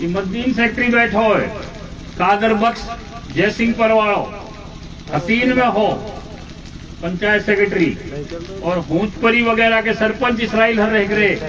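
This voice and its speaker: Against noticeable background noise, a man with a high pitch speaks with fairly even intonation, very even loudness, and long, frequent pauses. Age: 60s. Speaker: politician. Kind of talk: political speech.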